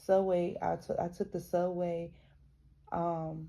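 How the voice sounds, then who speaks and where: A woman speaks in a monotone, flat intonation with an American accent. Her tone is dark and mellow, fairly low in pitch, at a fairly slow pace. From US South (metropolitan city). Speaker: YouTuber reading a book aloud with commentary. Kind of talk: reading aloud with casual commentary. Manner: halting, many restarts.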